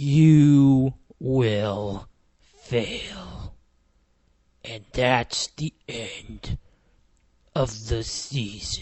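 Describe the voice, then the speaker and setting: This put-on character voice is gravelly, with a low-to-middle pitch. It moves at a very slow pace with long, frequent pauses. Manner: grave, urgent.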